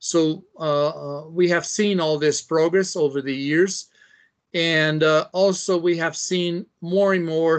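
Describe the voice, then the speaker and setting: In a Portuguese accent, a man talks at a fairly high pitch with ordinary pitch variation. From Brazil, Sao Paulo. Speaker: biologist and environmental policy expert. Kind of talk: interview. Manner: halting, many fillers.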